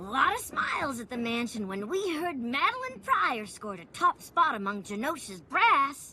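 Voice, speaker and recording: This is a cartoonish character voice that sounds female and sits at a high pitch. It moves at a moderate pace. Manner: folksy, warm.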